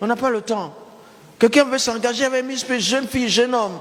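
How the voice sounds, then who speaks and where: Audible room echo surrounds the voice while noticeable background noise runs underneath. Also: man. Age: 70s. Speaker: pastor. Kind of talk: sermon. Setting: church. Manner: animated.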